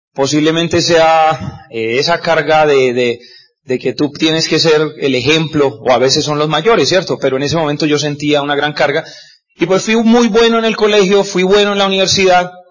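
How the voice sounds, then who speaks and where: Lively in intonation, a man speaks at a moderate pace in a normal speaking voice with fairly high pitch. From Colombia, Cúcuta (Norte de Santander). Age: 40s. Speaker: business speaker, former doctor. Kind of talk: motivational talk. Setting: stage with audience.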